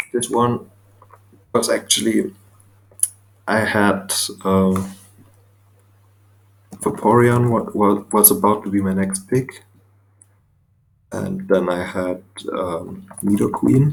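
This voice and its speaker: Speaking at a very slow pace with long, frequent pauses, a man with a non-native accent uses a fairly low pitch and ordinary pitch variation. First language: not English. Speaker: Pokemon draft league coach. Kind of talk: casual commentary video.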